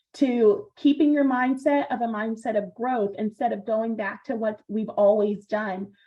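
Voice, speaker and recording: A woman talks at a fairly slow pace with a fairly high pitch and ordinary pitch variation. Her voice is somewhat breathy, with hardly any pauses. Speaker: project management presenter. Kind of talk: online seminar presentation.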